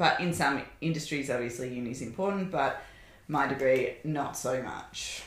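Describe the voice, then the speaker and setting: A woman with an Australian accent, very deep and low in pitch, at a moderate pace with ordinary pitch variation, plus noticeable background noise and audible room echo. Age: 30s. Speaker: podcast guest, host's wife. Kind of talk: casual chat.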